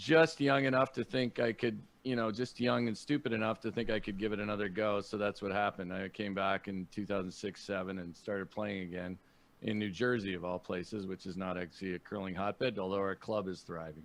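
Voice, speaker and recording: A man with a Canadian accent speaks fairly quickly in a fairly low pitch, using ordinary pitch variation. It is a plain, everyday voice against a quiet background. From Canada, Niagara Falls, Ontario. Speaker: podcast host and comedian. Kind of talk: casual chat.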